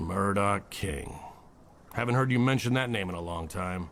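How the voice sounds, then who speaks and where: A man puts on a raspy character voice with a fairly low pitch. He sounds weary and keeps a moderate pace. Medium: audio drama. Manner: dry, world-weary.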